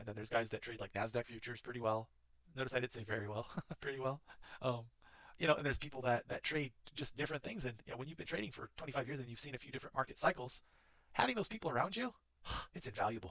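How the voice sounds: Talking at a fast pace, a man uses a medium pitch, a fairly bright tone and ordinary pitch variation.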